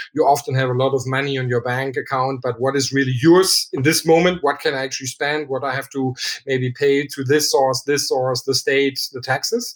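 Over noticeable background noise, a man speaks with fairly even intonation at a fairly high pitch. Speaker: startup founder. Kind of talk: interview.

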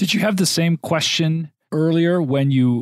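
This man has a normal speaking voice, fairly high in pitch, with ordinary pitch variation. He talks at a moderate pace in a dry, close sound with no echo. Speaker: podcast host. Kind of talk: interview.

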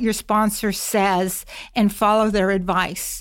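In a very clean recording with a silent background, a woman with an ordinary speaking voice and an American accent speaks at a fairly slow pace and a fairly high pitch. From Massachusetts. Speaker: corporate security executive, former FBI agent. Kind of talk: interview.

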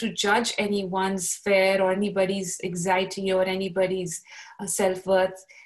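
A woman of medium pitch at a moderate pace, over noticeable background noise. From Pakistan. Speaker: podcaster. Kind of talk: casual chat. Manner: halting.

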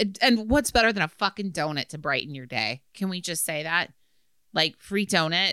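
A woman speaks at a moderate pace in a fairly low pitch with very wide pitch swings and a bright, sharp tone, recorded very cleanly against a silent background with a dry, close sound and no echo. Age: 40s. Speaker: podcast co-host. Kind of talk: casual chat.

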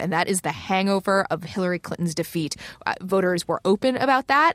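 A woman talks in an ordinary speaking voice at a fairly low pitch, with ordinary pitch variation. Her pace is fairly quick, and the sound is dry and close with no echo. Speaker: political reporter. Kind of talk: political panel discussion.

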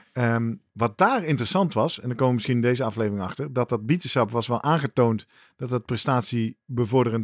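In a very clean recording with a silent background and a dry, close sound without echo, a man with an unremarkable speaking voice talks at a fairly quick pace, medium pitch and ordinary pitch variation. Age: middle-aged. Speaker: podcast host. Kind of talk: casual chat.

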